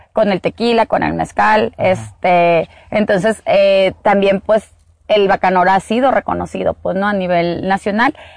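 A woman speaks at a moderate pace in an ordinary speaking voice, with a medium pitch, fairly even intonation and very even loudness, in a dry, close sound with no echo. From Sonora, Mexico. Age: 40s. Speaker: agave producer and entrepreneur. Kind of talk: interview. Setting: outdoors in an agave field.

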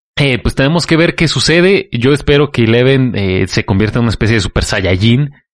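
Speaking at a moderate pace in an unremarkable speaking voice, a man keeps medium pitch, lively intonation and very even loudness. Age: 20s. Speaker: podcast guest. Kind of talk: casual chat.

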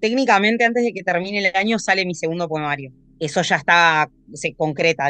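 A woman speaks at a fairly quick pace with ordinary pitch variation and a bright, sharp tone against a quiet background. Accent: Argentine. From Argentina, Tandil (Buenos Aires province). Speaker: poet and sommelier. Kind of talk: interview.

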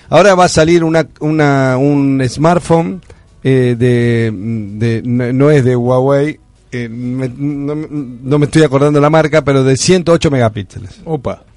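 Over music in the background, a man with a fairly high pitch talks at a fairly slow pace with ordinary pitch variation. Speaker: radio host. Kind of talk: casual chat.

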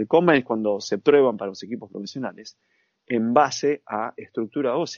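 A man with an Argentine accent speaks at medium pitch and a moderate pace. His pitch variation is ordinary, and his loudness swings widely. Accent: Argentine Spanish (Rioplatense). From Argentina. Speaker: sports nutritionist. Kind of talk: interview.

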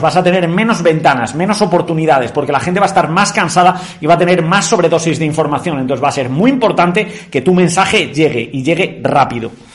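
Over noticeable background noise, a man with a high pitch talks at a very fast pace in an animated tone. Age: 30s. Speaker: sales trainer. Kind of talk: online masterclass.

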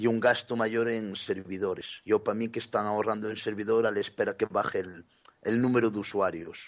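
A fairly low male voice, fairly quick and monotone, with flat intonation. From Galicia, Spain. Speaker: gaming podcast contributor. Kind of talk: casual chat.

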